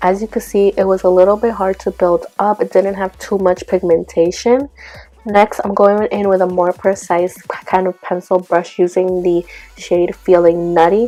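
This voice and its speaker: A woman's intonation is monotone and flat, with noticeable background noise behind her. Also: medium pitch for a woman, moderate pace. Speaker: beauty vlogger. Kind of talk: makeup tutorial.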